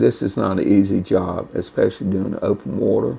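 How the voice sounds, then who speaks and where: A man talks at a fairly slow pace with a Southern US accent. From North Carolina. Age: 70s. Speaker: retired lifeguard. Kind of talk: interview.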